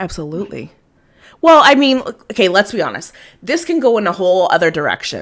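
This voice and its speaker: Speaking at a fairly quick pace with long, frequent pauses, a woman at a medium pitch makes very wide pitch swings, recorded very cleanly against a silent background. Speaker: podcast host. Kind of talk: casual chat. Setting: live stream. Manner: halting.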